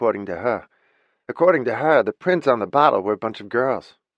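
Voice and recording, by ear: Reading aloud in a natural voice, with lively intonation against a quiet background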